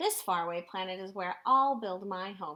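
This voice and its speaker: A woman speaks in a put-on character voice. Her pitch is medium, and her pace is moderate. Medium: read story.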